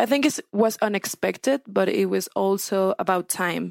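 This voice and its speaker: A woman talks at a moderate pace in a very clean recording with a silent background and a dry, close sound with no echo. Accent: Spanish. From Mexico, Sinaloa. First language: Spanish. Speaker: newspaper reporter. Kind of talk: casual chat.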